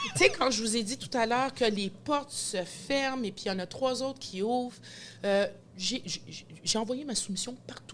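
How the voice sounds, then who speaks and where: A woman speaks at a moderate pace in a fairly high pitch. Her tone is energetic. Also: ordinary pitch variation. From Quebec, Montreal. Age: 40s. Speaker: sports event announcer. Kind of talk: podcast interview.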